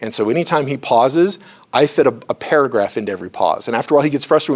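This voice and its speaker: A man speaks at a very fast pace with a fairly high pitch. His intonation is lively. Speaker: psychology lecturer and therapist. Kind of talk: lecture. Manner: animated.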